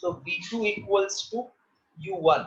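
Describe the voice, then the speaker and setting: The voice belongs to a man with a high pitch. His intonation is fairly even. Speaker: physics teacher. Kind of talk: lecture. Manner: slow.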